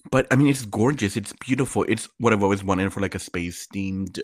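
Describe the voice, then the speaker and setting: A man with a plain, everyday voice and a fairly low pitch speaks with ordinary pitch variation and hardly any pauses on a very clean recording with a silent background. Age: 20s. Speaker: podcast co-host. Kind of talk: casual chat.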